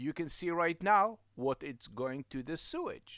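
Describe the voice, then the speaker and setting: On a very clean recording with a silent background, a man uses a raised, projected voice with very wide pitch swings, the sound dry and close with no echo. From Israel. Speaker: business owner. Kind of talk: promotional talk.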